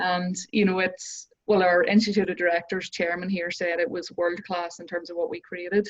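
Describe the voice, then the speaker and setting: Speaking at a moderate pace with hardly any pauses, a woman keeps a monotone, flat intonation at a medium pitch while her loudness swings widely. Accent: Northern Irish. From Northern Ireland. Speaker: business coach. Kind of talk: interview.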